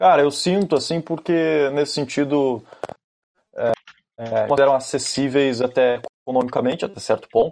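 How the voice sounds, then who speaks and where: Long, frequent pauses break up a man's speech at a moderate pace. His pitch is fairly high with ordinary variation. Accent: southern Brazilian. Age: 20s. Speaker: aspiring reporter. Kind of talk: casual chat.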